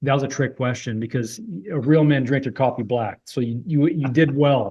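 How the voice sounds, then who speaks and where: A man speaks with a somewhat breathy voice. The background is quiet. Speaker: podcast host. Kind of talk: casual interview chat. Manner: fast; animated, high energy.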